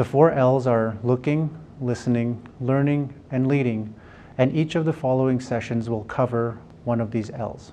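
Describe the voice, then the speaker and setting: Over light background noise, a man with a medium pitch and a dark, mellow tone speaks at a moderate pace with fairly even intonation. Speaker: webinar host. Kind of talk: webinar introduction. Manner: formal. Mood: calm, warm. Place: studio.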